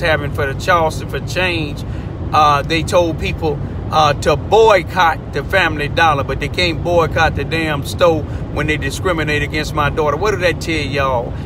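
The man speaks at a moderate pace. The sound is dry with no echo, though there is noticeable background noise. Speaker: community commentator. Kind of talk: impassioned commentary. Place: car. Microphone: phone near.

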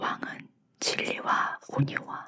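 This woman is whispering. Her tone is calm and gentle. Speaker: Bible reader, ASMR narrator. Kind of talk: Bible reading for sleep, ASMR audiobook. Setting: studio with condenser microphone. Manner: calm, gentle, soft.

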